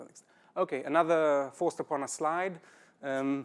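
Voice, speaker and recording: A man with a strong South African accent speaks at fairly high pitch. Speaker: system programmer, conference speaker. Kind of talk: conference talk. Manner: halting, many fillers.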